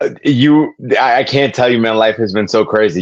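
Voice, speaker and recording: A man with a New York accent and fairly even intonation. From New York City, Queens. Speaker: social media influencer, physical media collector. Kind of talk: casual chat. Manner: fast, stammering.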